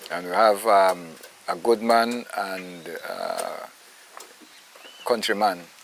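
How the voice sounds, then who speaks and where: A man with a fairly low pitch talks at a very slow pace, leaving long, frequent pauses over noticeable background noise. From Belize. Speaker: actor, writer and poet. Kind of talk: interview answer.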